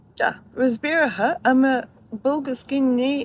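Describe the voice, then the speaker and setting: This woman speaks at a high pitch and a fairly slow pace. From Australia, Melbourne. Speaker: video creator. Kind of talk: personal memoir narration.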